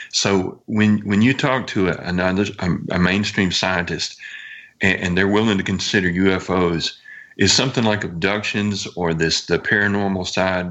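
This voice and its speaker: This man has an unremarkable speaking voice with fairly low pitch. His pace is moderate. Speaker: guest co-host, UFO blogger. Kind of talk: casual chat.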